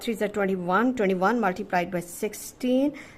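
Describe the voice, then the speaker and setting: This woman speaks at a medium pitch, with ordinary pitch variation. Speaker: maths teacher. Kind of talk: tutorial. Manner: slow.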